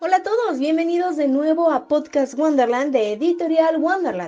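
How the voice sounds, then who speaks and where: The intonation is lively, and noticeable background noise sits under the voice. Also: woman, high pitch for a woman, moderate pace. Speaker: podcast host and narrator. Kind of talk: podcast talk about writing.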